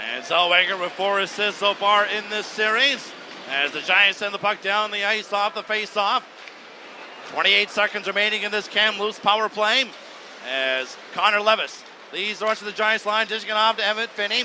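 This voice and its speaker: A man projects a raised, high-pitched voice with ordinary pitch variation over noticeable background noise. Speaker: play-by-play hockey broadcaster. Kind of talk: live sports play-by-play commentary. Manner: fast, energetic.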